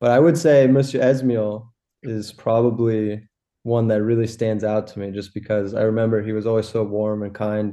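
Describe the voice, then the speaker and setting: A man's fairly low voice with a dark, mellow tone, fairly even intonation and a moderate pace. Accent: American. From Los Angeles, US. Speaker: graphic designer. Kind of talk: interview. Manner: casual, with many fillers.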